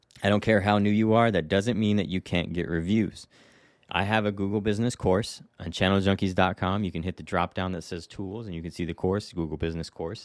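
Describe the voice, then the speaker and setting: This man speaks at a fairly quick pace in a fairly low pitch. The recording is very clean, with a silent background. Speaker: real estate agent and podcast host. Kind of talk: casual monologue. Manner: animated.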